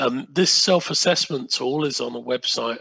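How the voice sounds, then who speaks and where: Speaking at a moderate pace, a man with an English accent has a bright, sharp tone. His pitch varies in an ordinary way. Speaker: sustainable procurement consultant and workshop trainer. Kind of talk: online workshop presentation. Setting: video call from home. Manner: halting, many fillers.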